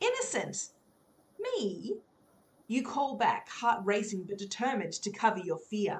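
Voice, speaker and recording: Long pauses, coming often, from a woman speaking fairly slowly. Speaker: adventure hour host. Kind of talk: live-read choose-your-adventure, with dramatic fantasy narration at 53:17. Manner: animated, enthusiastic, theatrical in narration.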